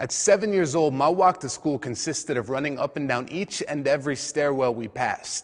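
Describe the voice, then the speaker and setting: In a normal speaking voice, a man with a fairly high pitch speaks at a moderate pace, using ordinary pitch variation. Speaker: slam poet. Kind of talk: slam poetry performance.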